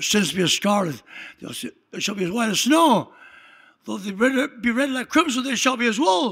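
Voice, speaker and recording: Lively intonation from a man with a high pitch, at a moderate pace with long, frequent pauses. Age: 80s+. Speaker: pastor. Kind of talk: sermon. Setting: church. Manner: animated.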